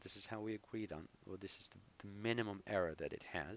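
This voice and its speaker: A man's plain, everyday voice, fairly low in pitch, with a dry, close sound and no echo. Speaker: engineering instructor. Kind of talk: lecture.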